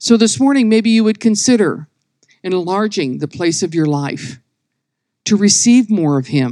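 This woman talks at a moderate pace with a medium pitch and a dark, mellow tone. Her pitch swings very widely against a quiet background. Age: 60s. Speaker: women's ministry speaker. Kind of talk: sermon. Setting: church meeting with live audience.

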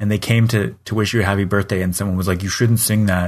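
A man with a Canadian accent speaks in a normal speaking voice, fairly low in pitch with ordinary pitch variation, against a quiet background. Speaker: podcast co-host. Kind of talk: casual chat.

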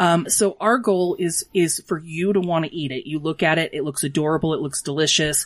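A woman with an American accent talks at a fairly quick pace with hardly any pauses, her fairly low pitch showing ordinary variation. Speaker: small business owner, dog bakery. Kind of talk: casual interview.

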